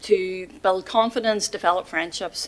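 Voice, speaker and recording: With a Mid Ulster accent, a woman talks at a medium pitch. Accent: Northern Irish (Mid Ulster). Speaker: volunteer centre representative. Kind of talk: presentation to council committee. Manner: fast; hesitant, many fillers.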